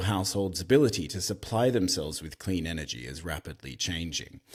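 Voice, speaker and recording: On a very clean recording with a silent background, a man talks at a very fast pace with lively intonation and vocal fry. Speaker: podcast host. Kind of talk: scripted podcast intro.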